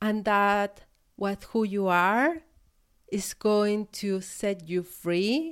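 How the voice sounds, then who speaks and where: A woman in a Chilean accent, warm in tone and medium in pitch, at a very slow pace with very even loudness. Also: ordinary pitch variation. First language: Spanish. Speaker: podcast host, business coach. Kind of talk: solo podcast monologue. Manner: reflective, warm, with hesitations.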